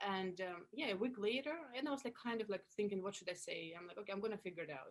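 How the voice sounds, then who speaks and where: A medium-pitched woman with a Russian accent and ordinary pitch variation. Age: 30s. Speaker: actress and comedian. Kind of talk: interview. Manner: animated.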